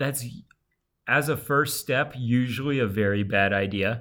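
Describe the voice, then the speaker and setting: A man's bright, sharp tone at a fairly slow pace, broken by long, frequent pauses. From Alabama. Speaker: podcast co-host. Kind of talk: casual chat. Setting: remote internet call.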